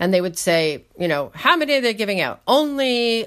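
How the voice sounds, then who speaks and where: A woman with a New York accent speaks at a fairly high pitch and a moderate pace, with very wide pitch swings. The recording is very clean, its background silent. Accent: American (New York). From upstate New York. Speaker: Russian film enthusiast, Russian speaker. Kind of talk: casual chat.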